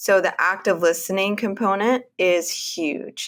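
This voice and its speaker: A woman with a Texan accent at a fairly slow pace. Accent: Texan American. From Texas, Houston area. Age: 40s. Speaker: women's health practitioner. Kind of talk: interview.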